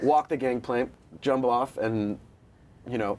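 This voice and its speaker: Someone speaks fairly slowly with an American accent and ordinary pitch variation. Noticeable background noise runs under the voice. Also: man. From France, then US from about age four. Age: 20s. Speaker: actor. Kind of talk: casual interview chat. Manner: animated.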